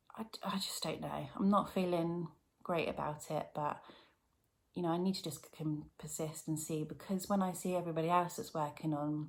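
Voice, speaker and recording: A woman's fairly low voice with an English accent, fairly even intonation and a moderate pace. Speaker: cross-stitch vlogger. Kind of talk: casual chat. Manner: louder than usual.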